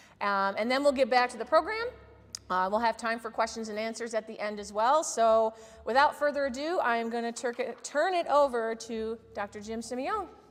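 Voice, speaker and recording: Her pitch fairly high, a woman speaks at a moderate pace with ordinary pitch variation and big swings in loudness. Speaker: museum education director. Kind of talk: event introduction. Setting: museum talk with live audience. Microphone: no microphone, technical sound issues.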